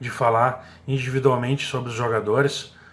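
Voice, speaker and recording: The man's voice is medium in pitch and somewhat breathy, with fairly even intonation. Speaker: radio sports commentator. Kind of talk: radio sports commentary.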